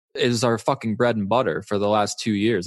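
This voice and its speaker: Against a quiet background, a man with a fairly low pitch talks with fairly even intonation in a dry, close sound with no echo. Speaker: poker coach. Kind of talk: interview. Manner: earnest.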